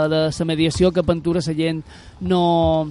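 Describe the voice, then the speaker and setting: Speech at a fairly slow pace plays over music in the background. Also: man. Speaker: radio workshop host. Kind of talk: youth radio interview. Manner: halting; animated.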